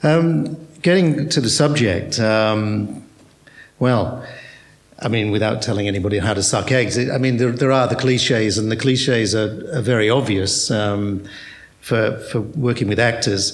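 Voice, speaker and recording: A man with an Australian accent speaks at a moderate pace, with ordinary pitch variation and very even loudness. Noticeable background noise and audible room echo are present. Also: medium pitch for a man. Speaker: theatre director. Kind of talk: panel discussion. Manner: hesitant, repetitive.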